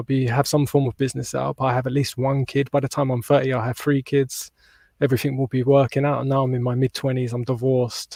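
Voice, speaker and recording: A man with a British accent talks very fast in a dark, mellow tone with monotone, flat intonation, the sound dry and close with no echo. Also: medium pitch for a man. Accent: British (UK). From southern England, near London. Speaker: holistic mental health practitioner. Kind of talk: personal testimony in interview. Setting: podcast interview.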